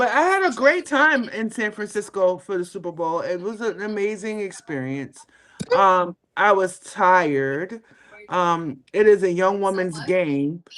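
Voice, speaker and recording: A woman's medium-pitched voice, animated in tone, lively in intonation, at a fairly slow pace. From Brooklyn, New York. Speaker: sports podcast host. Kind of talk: casual chat.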